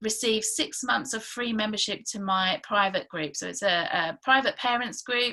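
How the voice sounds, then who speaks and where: With a bright, sharp tone and lively intonation, a woman speaks at a moderate pace. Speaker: parenting coach. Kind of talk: sales pitch. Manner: halting, many fillers.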